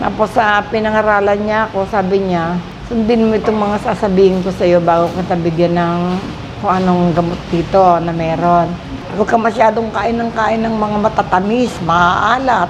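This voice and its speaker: Noticeable background noise sits under this recording. A woman speaks with fairly even intonation. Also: medium pitch for a woman, moderate pace. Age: 70s. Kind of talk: interview answer.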